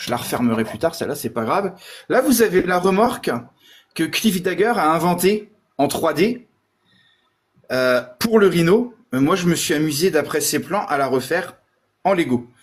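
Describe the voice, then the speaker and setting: Long, frequent pauses break up a man's high-pitched speech, which moves at a fairly slow pace with lively intonation. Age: 40s. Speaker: Lego builder and collector. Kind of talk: casual chat.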